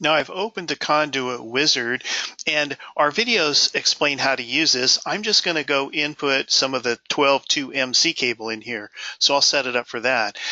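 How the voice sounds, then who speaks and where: A man with an unremarkable speaking voice talks at a moderate pace, his fairly high pitch moving with ordinary variation. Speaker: software demonstrator. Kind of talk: software tutorial. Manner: casual with fillers.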